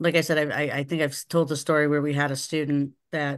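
Against a quiet background, a woman speaks in a very deep, low pitch with monotone, flat intonation. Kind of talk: meeting remarks. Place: home room. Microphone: video call.

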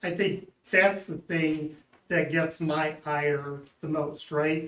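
A man speaking at a fairly slow pace. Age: 60s. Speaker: local resident, public commenter. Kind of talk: public comment at board meeting. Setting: public board meeting hearing.

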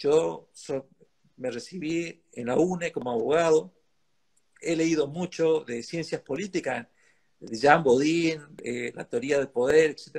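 The speech is very slow, with ordinary pitch variation. The background is quiet. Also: man, fairly high pitch for a man. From Argentina. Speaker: lawyer and think-tank director, interviewer; interviewer, lawyer. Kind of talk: interview conversation. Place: home room. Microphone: video call.

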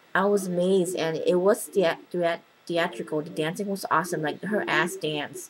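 A woman speaks in an animated tone at a fairly low pitch for a woman. Noticeable background noise runs under her voice. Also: moderate pace. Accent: American. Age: 20s. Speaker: vlogger. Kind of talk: casual chat. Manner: animated, excitable.

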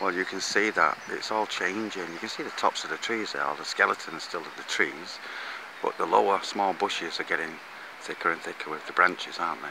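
Recorded dry with no echo, a man talks at a fairly quick pace amid noticeable background noise. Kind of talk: casual vlog chat. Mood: cheerful, relaxed. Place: garden. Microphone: phone near.

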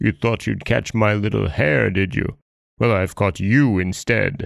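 Using a put-on character voice, a man speaks at a fairly slow pace with fairly low pitch. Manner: savage, menacing.

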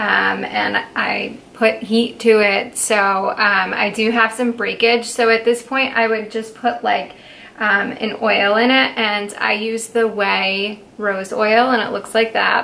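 Hardly pausing, a woman speaks at a very slow pace with a fairly high pitch and a monotone, flat intonation. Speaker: beauty content creator. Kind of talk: casual talk to camera. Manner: casual, relaxed, hesitant. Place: home room. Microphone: camera far.

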